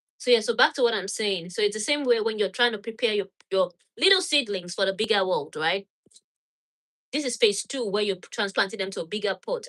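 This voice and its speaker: A woman at a medium pitch with a Nigerian accent, very fast pace and ordinary pitch variation. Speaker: gardening channel host. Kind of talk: live stream tutorial with Q&A. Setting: home laundry room.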